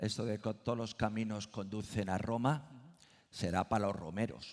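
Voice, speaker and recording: A man with a normal speaking voice talks at a moderate pace, his fairly low pitch carried in a fairly even intonation. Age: 60s. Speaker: Camino de Santiago expert. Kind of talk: panel discussion.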